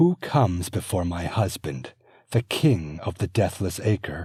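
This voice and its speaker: A man puts on a character voice, very deep and low, with lively intonation at a fairly slow pace in a dry, close sound with no echo. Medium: read story. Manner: haughty, imperious.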